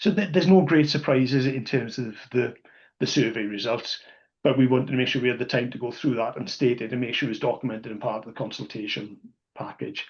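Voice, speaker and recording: Fairly quick, somewhat breathy speech from a man, medium in pitch and ordinary in pitch variation. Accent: South Welsh. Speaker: rugby podcast co-host and supporters club representative. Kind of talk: casual podcast discussion. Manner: halting, many false starts and repetitions.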